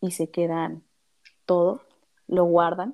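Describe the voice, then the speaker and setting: A woman of medium pitch speaks very slowly, her tone dark and mellow. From Mexico City. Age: 30s. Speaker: psychologist. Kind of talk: interview.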